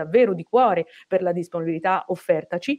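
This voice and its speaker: Against a quiet background, a woman speaks in a dark, mellow tone with ordinary pitch variation. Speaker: moderator. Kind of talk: formal event introduction. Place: office. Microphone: earbuds.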